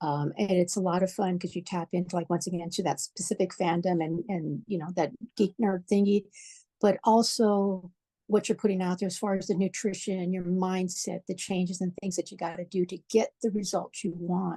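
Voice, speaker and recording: A woman's medium-pitched voice, dark and mellow in tone, at a moderate pace with fairly even intonation, dry and close with no echo against a quiet background. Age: 60s. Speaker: fitness program member, medical worker. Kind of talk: interview testimonial.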